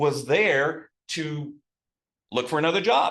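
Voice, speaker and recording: A man talks with a Texas accent. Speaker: new local resident. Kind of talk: casual storytelling talk.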